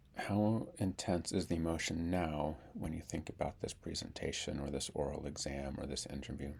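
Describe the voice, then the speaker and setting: In a calm tone, a man speaks with a very deep, low pitch and vocal fry. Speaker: speech therapist. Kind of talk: guided tapping tutorial. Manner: calm instructional; repetitions and sound blocks.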